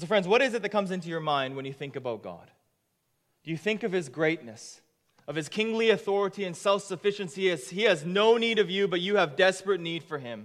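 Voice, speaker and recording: A man speaks at a very fast pace with a high pitch and lively intonation. His loudness swings widely. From Japan. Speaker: pastor. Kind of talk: sermon. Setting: church.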